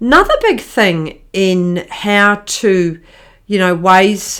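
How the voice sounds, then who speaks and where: A woman with a strong New Zealand accent speaks at a medium pitch and a very slow pace in a very clean recording with a silent background. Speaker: marriage counsellor and podcast host. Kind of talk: podcast monologue. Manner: hesitant, many fillers.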